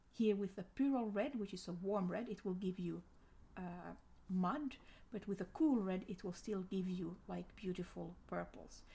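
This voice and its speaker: A woman with a non-native accent speaks at a moderate pace and medium pitch, with ordinary pitch variation. Her voice is somewhat breathy, with a dark, mellow tone. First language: not English. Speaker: art tutor. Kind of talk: tutorial. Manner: halting.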